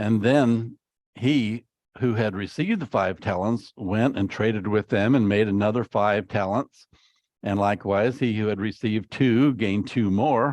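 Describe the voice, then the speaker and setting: A man talks in an unremarkable speaking voice, fairly low in pitch, at a moderate pace with very even loudness and fairly even intonation. The sound is dry and close with no echo, over a quiet background. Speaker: preacher. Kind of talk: sermon.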